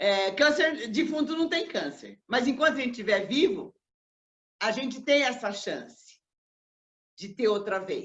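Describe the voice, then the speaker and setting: Her voice high and her intonation lively, a woman speaks at a fairly slow pace. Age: 70s. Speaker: cancer survivor and lecturer. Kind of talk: talk. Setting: online live broadcast.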